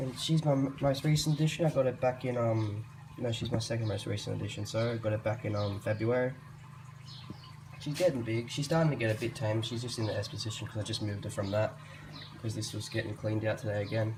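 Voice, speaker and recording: In an Australian accent, the speaker goes at a very fast pace with ordinary pitch variation. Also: man, medium pitch for a man. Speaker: reptile keeper video creator. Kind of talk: casual show-and-tell vlog.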